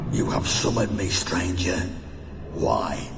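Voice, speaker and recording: Amid loud background noise and a clear echo, a man performs a put-on character voice at a fairly slow pace. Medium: game stream. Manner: cold, haughty.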